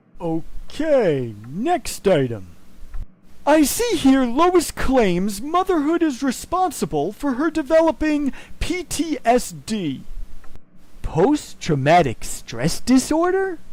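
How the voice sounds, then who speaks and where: A put-on character voice at a high pitch and a fairly slow pace. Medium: comedy sketch. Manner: measured, soothing.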